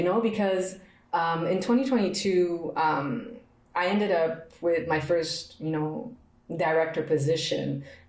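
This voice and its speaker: Amid noticeable background noise and audible room echo, a woman with a fairly low pitch speaks at a very slow pace with lively intonation. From Montreal, Quebec. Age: 30s. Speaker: podcast host. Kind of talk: personal reflection monologue. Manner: repetitive, emphatic.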